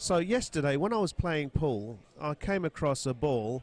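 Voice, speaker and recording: Fairly slow delivery with an English accent. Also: man. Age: 50s. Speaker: pool player and commentator. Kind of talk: casual chat. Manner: halting.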